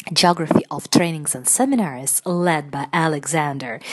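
A woman's fairly low voice at a fairly slow pace. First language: Russian. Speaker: radio presenter and linguist. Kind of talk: radio interview hosting. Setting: studio.

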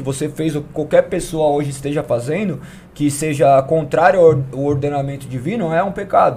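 The man speaks at a moderate pace. His pitch is fairly high, with ordinary pitch variation. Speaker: church member. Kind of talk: testimony. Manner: talkative.

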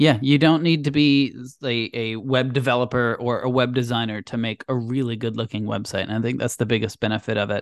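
A man talks at a fairly quick pace with hardly any pauses and fairly even intonation, in an ordinary speaking voice. The sound is dry and close with no echo, over a quiet background. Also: medium pitch for a man. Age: 30s. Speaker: podcast co-host, web developer. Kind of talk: casual chat.

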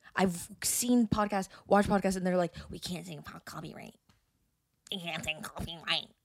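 Mumbling with vocal fry at a moderate pace, a woman uses a medium pitch and fairly even intonation while her loudness swings widely. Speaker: podcast co-host. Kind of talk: casual chat.

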